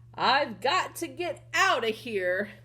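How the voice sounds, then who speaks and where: A woman performs a put-on character voice. Light background noise can be heard. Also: high pitch for a woman. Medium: read story.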